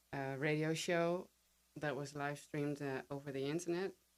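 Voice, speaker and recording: A woman speaks with a Dutch accent and a very deep, low pitch. Her intonation stays fairly even. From Netherlands. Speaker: podcast guest, writer and copy editor. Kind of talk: interview. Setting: studio.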